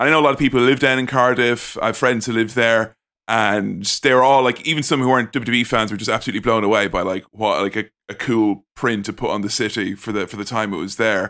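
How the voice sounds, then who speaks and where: In an Irish accent, a man talks at a very fast pace with a bright, sharp tone, recorded very cleanly over a silent background. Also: medium pitch for a man, ordinary pitch variation. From Ireland. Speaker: podcaster. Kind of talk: casual chat.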